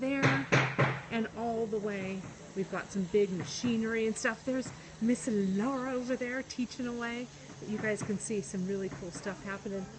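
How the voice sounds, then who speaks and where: Over loud background noise, a woman speaks with ordinary pitch variation. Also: moderate pace. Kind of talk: casual livestream chat. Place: hall. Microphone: phone near.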